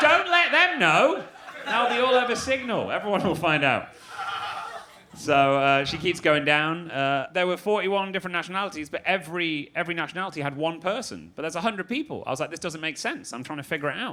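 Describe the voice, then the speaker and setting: A man talks very fast at a high pitch, with very wide pitch swings. Noticeable background noise runs underneath. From Manchester, England. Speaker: comedian and freestyle rapper. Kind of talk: stand-up comedy set.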